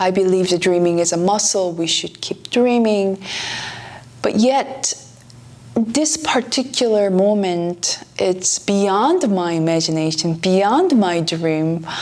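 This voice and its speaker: With a Korean accent, a woman speaks at a very slow pace with lively intonation and medium pitch over noticeable background noise. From South Korea. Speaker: pianist and author. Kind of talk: travel vlog narration.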